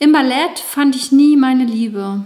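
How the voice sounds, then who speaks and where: A woman with a plain, everyday voice speaks fairly slowly, with ordinary pitch variation. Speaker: author reading own memoir, dance fitness instructor. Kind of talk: reading aloud of memoir chapter.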